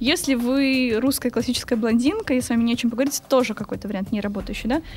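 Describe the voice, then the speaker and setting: A woman talks very fast in a high voice. Her pitch varies in an ordinary way amid noticeable background noise. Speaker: language teacher and translator, medievalist student. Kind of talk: casual interview.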